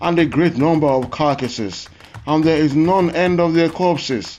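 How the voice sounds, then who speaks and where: A man speaks with a Nigerian accent at a moderate pace, with ordinary pitch variation. Music plays in the background. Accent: Yoruba-accented English. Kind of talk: scripture reading.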